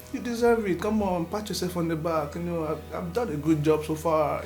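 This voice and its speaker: A man speaks with audible room echo. Music plays behind him. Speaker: vlogger. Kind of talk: personal vlog monologue. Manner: animated.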